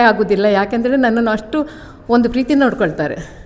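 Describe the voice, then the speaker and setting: A woman talks with ordinary pitch variation amid noticeable background noise. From coastal Karnataka, Udupi. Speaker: bhajan group member. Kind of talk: testimony.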